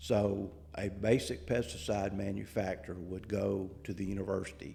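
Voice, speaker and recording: A man's very deep, low voice, somewhat breathy, with a dark, mellow tone and monotone, flat intonation. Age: 70s. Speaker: agricultural researcher. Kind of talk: interview.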